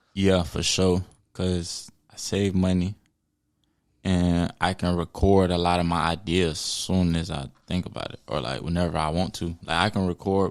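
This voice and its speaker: This man has a very deep, low voice and an American accent. He talks at a moderate pace in a relaxed tone, with monotone, flat intonation. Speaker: rapper. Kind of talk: casual chat. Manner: mellow, relaxed.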